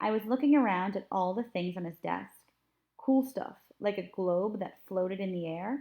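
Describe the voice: Plain reading aloud sits over a quiet background.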